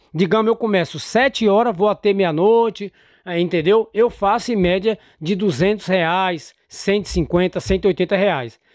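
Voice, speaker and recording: A man speaks at a very slow pace in a high pitch, the sound dry with no echo. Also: ordinary pitch variation, quiet background. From Brazil. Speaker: motorcycle delivery courier and YouTuber; YouTuber. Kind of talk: casual vlog commentary. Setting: outdoors at a restaurant pickup. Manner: animated. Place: home room. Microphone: studio mic.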